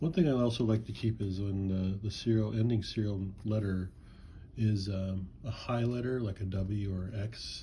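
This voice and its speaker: A man's somewhat breathy voice, dark and mellow in tone, fairly low in pitch, with fairly even intonation at a moderate pace. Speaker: coin and banknote collector. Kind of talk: casual video commentary. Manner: halting, many fillers.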